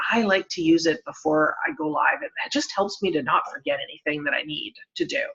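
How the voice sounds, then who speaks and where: Speaking at a fairly quick pace, a woman of medium pitch makes very wide pitch swings. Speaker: Facebook marketing trainer. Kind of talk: live-stream tutorial. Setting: Facebook live video. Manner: fast.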